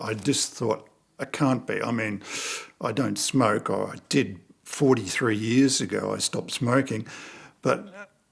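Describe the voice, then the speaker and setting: With vocal fry in his medium-pitched voice, a man talks using ordinary pitch variation. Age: 70s. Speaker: cancer patient. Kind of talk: testimony. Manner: halting.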